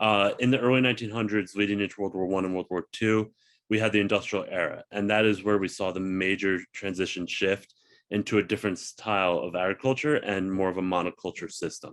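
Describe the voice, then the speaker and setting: Against a quiet background, a man talks at a fairly quick pace with a fairly low pitch and fairly even intonation. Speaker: agriculture panelist, former chef. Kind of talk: webinar presentation. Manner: fast.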